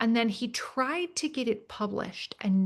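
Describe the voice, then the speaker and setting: Somewhat breathy and fairly high-pitched, a woman speaks at a moderate pace with an American accent. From Minnesota, US Midwest. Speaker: government teacher and author. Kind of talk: webinar conversation. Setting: online webinar.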